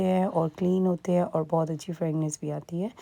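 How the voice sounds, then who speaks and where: Dark and mellow in tone, the voice keeps its intonation mostly level. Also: woman. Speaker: family vlogger. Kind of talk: casual vlog narration. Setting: at home.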